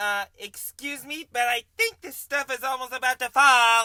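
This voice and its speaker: A put-on character voice with a high pitch at a moderate pace. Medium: audio drama.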